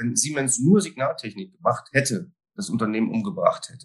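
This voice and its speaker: There is vocal fry in this man's fairly high voice, which swings very widely in pitch. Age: 50s. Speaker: risk management consultant. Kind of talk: interview conversation.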